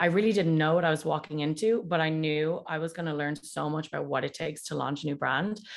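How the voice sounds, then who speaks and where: Against a quiet background, a woman with a Dublin accent speaks in a fairly low voice with ordinary pitch variation. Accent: Dublin Irish. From Ireland, Dublin. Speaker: whiskey brand ambassador. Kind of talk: casual interview.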